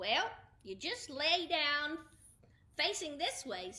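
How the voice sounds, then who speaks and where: A woman's high put-on character voice, very slow, with very wide pitch swings. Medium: read story. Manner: cheerful, proud.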